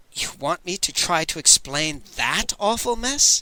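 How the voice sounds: A man's put-on character voice, high-pitched, with very wide pitch swings, at a fairly slow pace.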